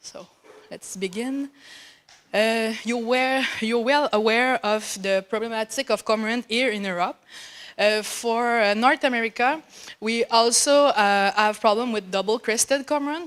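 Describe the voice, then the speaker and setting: A woman speaks with a French Canadian accent. Her pitch is fairly high and her pace fairly slow. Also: ordinary pitch variation. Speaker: graduate student researcher. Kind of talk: conference presentation. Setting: conference hall. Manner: halting, many fillers.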